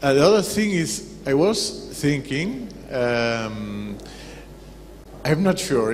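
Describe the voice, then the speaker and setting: Lively intonation and a non-native accent come through with audible room echo. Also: man. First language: Spanish. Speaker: audience member asking questions. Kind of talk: Q&A comment. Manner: halting.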